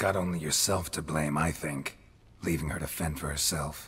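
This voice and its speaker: A man growls in a put-on character voice. His pitch sits very deep and low. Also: moderate pace. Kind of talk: video game dialogue. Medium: video game. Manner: dry, terse.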